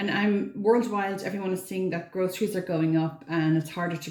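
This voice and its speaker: A quiet woman's voice at medium pitch, with audible room echo and noticeable background noise. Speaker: frugal living vlogger. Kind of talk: casual vlog talk to camera. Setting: bathroom at home.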